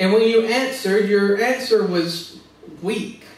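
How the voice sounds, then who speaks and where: There is noticeable background noise behind a man with an American accent. His pitch variation is ordinary. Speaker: pastor / preacher. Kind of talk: sermon preaching to a congregation.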